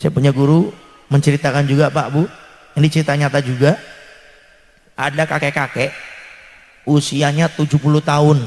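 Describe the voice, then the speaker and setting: A man speaks at a fairly quick pace, his voice somewhat breathy and fairly high-pitched. Long pauses come often, and his loudness stays very even. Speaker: Islamic preacher. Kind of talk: sermon. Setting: religious gathering with audience. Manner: animated.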